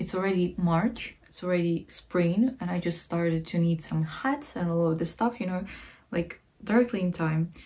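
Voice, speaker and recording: Somewhat breathy and dark, mellow in tone, a woman speaks at a fairly low pitch in a Ukrainian accent. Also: ordinary pitch variation, moderate pace. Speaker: art history vlogger. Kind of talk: casual educational talk. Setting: sitting at home while knitting. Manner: hesitant, many fillers.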